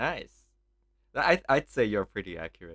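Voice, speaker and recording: A man with a strong Thai accent speaks in a bright, sharp tone, recorded dry and close with no echo. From Thailand. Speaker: podcast co-host, PhD student. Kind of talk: casual chat.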